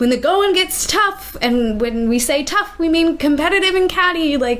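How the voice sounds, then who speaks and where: A woman with an American accent, extremely high in pitch, making very wide pitch swings at very even loudness and a moderate pace amid noticeable background noise. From Minnesota, Minneapolis suburbs. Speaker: theater artist. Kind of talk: casual chat. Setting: in-person sit-down. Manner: animated.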